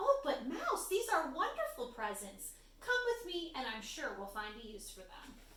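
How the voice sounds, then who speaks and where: A woman's put-on character voice, high in pitch, with very wide pitch swings, a moderate pace and a slight echo. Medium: read story.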